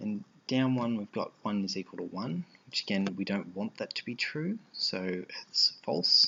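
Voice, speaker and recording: A soft-spoken man with a fairly low pitch talks at a fairly slow pace, with ordinary pitch variation. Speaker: programming tutorial creator. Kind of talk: tutorial. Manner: casual, with fillers.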